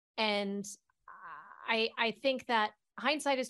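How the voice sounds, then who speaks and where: A woman's voice with ordinary pitch variation. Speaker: actress. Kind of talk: casual chat.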